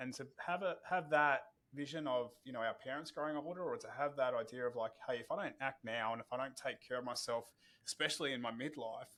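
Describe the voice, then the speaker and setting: In a very clean recording with a silent background, a man with an Australian accent talks at a fairly quick pace in a fairly high pitch, with a bright, sharp tone and ordinary pitch variation. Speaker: podcast host. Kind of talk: podcast interview.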